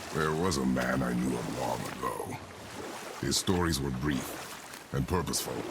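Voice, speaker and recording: A man's put-on character voice, gravelly and strained, at a moderate pace with long, frequent pauses over loud background noise. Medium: video game. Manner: terse, gravely restrained.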